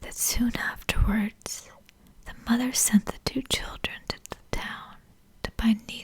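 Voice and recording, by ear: A passage gets read aloud here in a natural voice.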